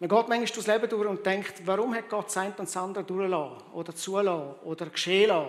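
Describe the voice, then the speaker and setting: A man is speaking. His intonation is fairly even and his pace fairly quick. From Rwanda, then Switzerland. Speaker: pastor. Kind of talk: sermon.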